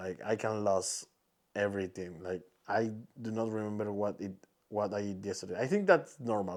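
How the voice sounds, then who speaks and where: A man with a Spanish accent speaks at a moderate pace with fairly even intonation, on a very clean recording with a silent background. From Peru. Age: 20s. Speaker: podcaster and content creator. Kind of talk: casual monologue podcast. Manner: halting, many restarts and fillers.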